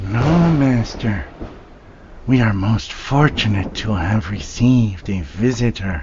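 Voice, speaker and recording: Putting on a character voice, a man with a medium pitch speaks at a fairly slow pace with lively intonation. Clear background noise runs behind him. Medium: audio drama. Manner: servile, eager, giggling.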